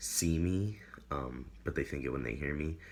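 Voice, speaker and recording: Very deep and low in pitch, a man speaks with vocal fry and ordinary pitch variation. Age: 20s. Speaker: video blogger. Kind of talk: casual chat. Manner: hesitant, many fillers.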